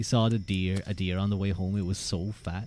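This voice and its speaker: This man's voice has a very deep, low pitch and a dark, mellow tone. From Ireland. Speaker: streamer. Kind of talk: live stream chat. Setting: live stream. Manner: animated; halting, repeats words.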